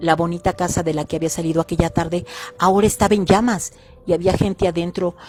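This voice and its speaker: A normal speaking voice. It moves at a fairly quick pace. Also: woman. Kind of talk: horror story narration.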